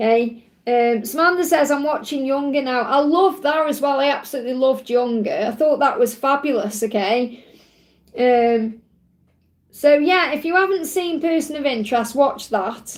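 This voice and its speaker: This woman's voice is high-pitched, with ordinary variation in pitch. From England. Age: 40s. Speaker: tarot reader. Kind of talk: live stream Q&A chat. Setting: live stream. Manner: fast; animated.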